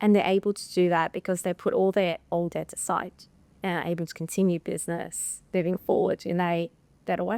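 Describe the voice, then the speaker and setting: An Australian accent at a moderate pace, dry and close with no echo, on a very clean recording with a silent background. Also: woman. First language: Russian. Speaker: insolvency professional. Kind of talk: interview testimonial.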